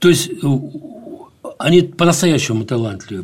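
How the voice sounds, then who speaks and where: A man speaks with lively intonation. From grew up in Azerbaijan, Dagestan and Ukraine. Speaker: architect and educator researching the Arctic. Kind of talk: interview. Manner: halting, many fillers and restarts.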